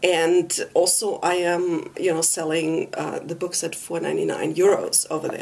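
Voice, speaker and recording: A woman keeps a moderate pace while background noise stays noticeable around her. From Germany. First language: German. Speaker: author. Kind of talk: interview. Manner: hesitant, many fillers.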